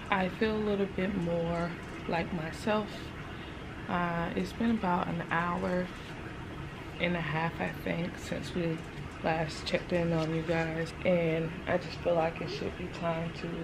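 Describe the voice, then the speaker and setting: Against noticeable background noise, the speech goes at a fairly slow pace with long, frequent pauses. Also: woman. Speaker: new mother vlogger. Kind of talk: casual vlog chat.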